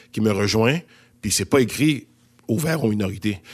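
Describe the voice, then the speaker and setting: The recording is very clean with a silent background. A man speaks at a fairly low pitch. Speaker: actor. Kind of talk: casual discussion.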